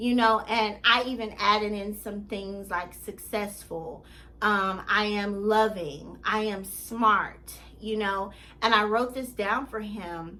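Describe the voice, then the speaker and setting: A woman speaks very slowly at a medium pitch in a bright, sharp tone with fairly even intonation, with audible room echo around her. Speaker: life coach. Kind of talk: motivational vlog monologue.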